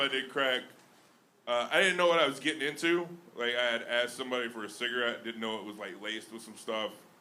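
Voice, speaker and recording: Talking at a fairly quick pace in a Southern US accent, a man with a medium pitch uses lively intonation amid noticeable background noise and audible room echo. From Alabama. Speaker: stand-up comedian. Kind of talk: stand-up. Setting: stage with audience.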